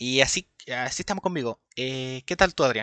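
The voice has a bright, sharp tone and ordinary pitch variation at a moderate pace. The sound is dry and close, with no echo. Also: man. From Chile. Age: 20s. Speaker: podcast co-host. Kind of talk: casual chat.

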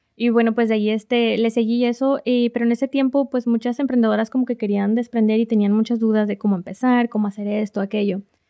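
Very fast with hardly any pauses, a woman speaks at a fairly high pitch in a monotone, flat way with very even loudness, the sound dry and close with no echo. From northern Mexico, Reynosa, Tamaulipas. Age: 20s. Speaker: social media influencer and small business owner. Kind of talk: interview.

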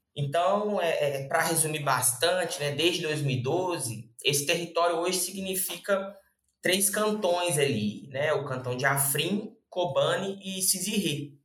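Pitched high, a man speaks at a very slow pace with ordinary pitch variation. The room echo is audible. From Brazil, Belo Horizonte (Minas Gerais). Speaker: lawyer and researcher. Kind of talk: interview explanation. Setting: podcast. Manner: halting, many fillers.

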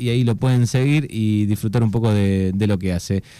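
Pitch rises and falls in an ordinary way. The tone is dark and mellow. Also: man. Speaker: radio host. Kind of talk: radio interview. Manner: halting.

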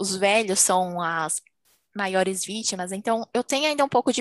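Against a quiet background with a dry, close sound and no echo, a woman speaks in a normal speaking voice at a medium pitch and moderate pace. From Brazil. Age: 20s. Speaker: medical student. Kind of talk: casual chat.

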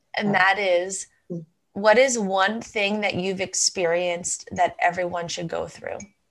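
At a fairly slow pace, a woman talks in a medium-pitched voice. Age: 30s. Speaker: podcast host. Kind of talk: interview.

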